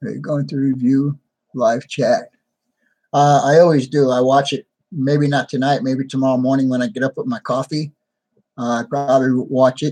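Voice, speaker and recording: A man speaks with an American accent at a moderate pace, his medium-pitched voice dark and mellow in tone. His intonation stays fairly even, and the sound is dry and close with no echo. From New York. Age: 60s. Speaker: hobby channel host, model trains. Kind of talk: live stream chat with viewers. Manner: casual, conversational.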